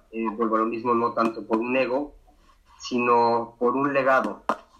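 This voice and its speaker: The man's bright, sharp tone carries a monotone, flat intonation. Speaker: video journalist. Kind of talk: interview. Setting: remote call from Ukraine. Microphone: unstable internet connection.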